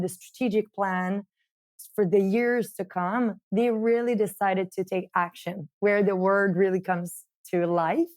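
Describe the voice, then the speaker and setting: A woman of medium pitch with a French-Canadian accent, fairly slow, with ordinary pitch variation and a dry, close sound with no echo, in a very clean recording with a silent background. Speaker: marketing director of a coffee company. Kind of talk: interview.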